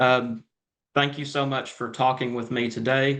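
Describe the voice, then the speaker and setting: A man with a Southern US accent at a fairly quick pace, over a quiet background. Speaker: entertainment interviewer. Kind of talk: interview.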